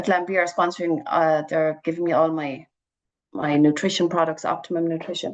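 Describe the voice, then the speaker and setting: A woman speaks with a Cork accent. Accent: Cork Irish. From Ireland, County Cork (Ballyvourney). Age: 40s. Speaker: charity fundraiser and runner. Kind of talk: radio interview. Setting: phone call. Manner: animated.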